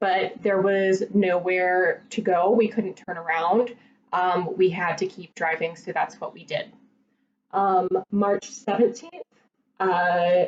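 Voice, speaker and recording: Speaking at a fairly slow pace, a woman has an unremarkable speaking voice at medium pitch with fairly even intonation. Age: 30s. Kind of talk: casual talk to camera.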